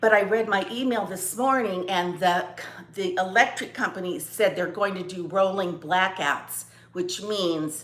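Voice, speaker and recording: This woman has a medium-pitched voice. She speaks at a fairly slow pace with ordinary pitch variation. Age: 60s. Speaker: lifestyle vlogger. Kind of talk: casual chat. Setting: at home, live video. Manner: halting.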